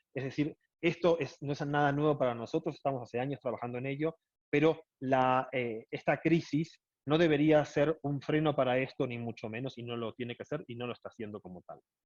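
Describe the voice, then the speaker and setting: Recorded with a dry, close sound and no echo, a man talks at a fairly quick pace in a fairly high pitch with ordinary pitch variation. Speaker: airline executive. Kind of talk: lecture. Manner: fast.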